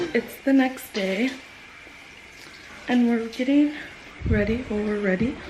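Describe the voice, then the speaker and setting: A woman's fairly slow, fairly even speech with long, frequent pauses, audible room echo and noticeable background noise. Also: fairly high pitch for a woman. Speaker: vlogger. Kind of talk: casual vlog narration. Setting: vacation house. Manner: whispering.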